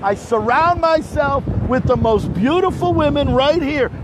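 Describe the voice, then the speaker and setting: An animated man in an American accent, lively in intonation, over noticeable background noise. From New Jersey. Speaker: livestream host. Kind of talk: live street reporting. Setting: outdoors during hurricane. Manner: loud.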